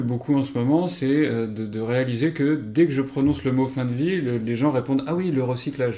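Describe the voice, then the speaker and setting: A man speaks at a fairly slow pace in a dark, mellow tone, with a medium pitch and ordinary pitch variation. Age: 40s. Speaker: engineer and climate workshop facilitator. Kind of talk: interview. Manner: halting, many hesitations.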